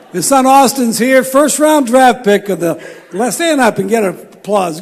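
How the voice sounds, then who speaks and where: Lively intonation from a man, with crowd noise in the background. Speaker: baseball coach, banquet speaker. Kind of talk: after-dinner speech. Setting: banquet with audience.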